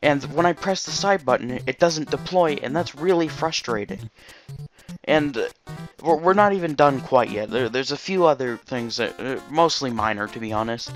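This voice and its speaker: A man's fairly high voice at a moderate pace, lively intonation, music in the background. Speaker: video game reviewer. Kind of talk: casual unscripted game review talk.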